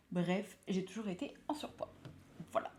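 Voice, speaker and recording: In a dark, mellow tone, a woman talks at a fairly slow pace. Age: 20s. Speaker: lifestyle vlogger and nurse. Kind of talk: casual vlog monologue. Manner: chatty, hesitant with frequent fillers.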